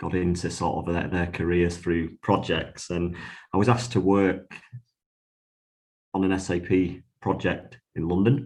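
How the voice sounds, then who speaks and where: Speaking with a northern English accent, a man with a very deep, low pitch moves at a fairly slow pace, with fairly even intonation and long, frequent pauses. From northwest England. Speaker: IT director. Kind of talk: podcast interview. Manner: hesitant, many fillers.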